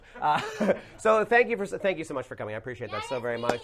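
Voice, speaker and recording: Noticeable background noise accompanies the voice of a man as he speaks. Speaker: talk show host. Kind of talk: late night talk show hosting. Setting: stage with audience. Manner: loud; animated.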